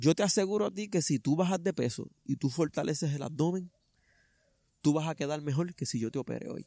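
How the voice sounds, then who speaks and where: Lively in intonation and dark and mellow in tone, a man talks at a fairly quick pace over a quiet background, in a dry sound with no echo. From Puerto Rico. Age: 30s. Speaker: runner and truck driver; interviewee. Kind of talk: interview testimony; interview answer. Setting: outdoors in a park. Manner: halting. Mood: earnest, reflective. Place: garden.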